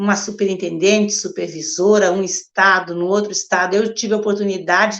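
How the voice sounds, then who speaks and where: The pace is fairly quick. The intonation stays flat and monotone. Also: woman, medium pitch for a woman. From Rio Grande do Sul, Alegrete. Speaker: pastor. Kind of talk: online church livestream talk.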